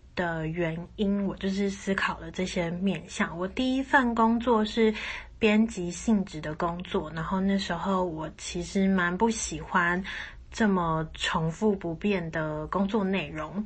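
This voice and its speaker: Somewhat breathy, a woman speaks at a very slow pace with medium pitch and ordinary pitch variation. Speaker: podcast host. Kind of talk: solo podcast monologue.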